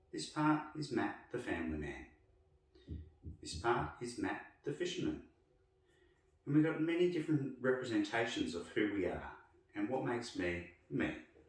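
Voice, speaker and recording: A man talks at a moderate pace with long, frequent pauses. Audible room echo surrounds his voice. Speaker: myotherapist. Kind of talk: personal explanatory narration.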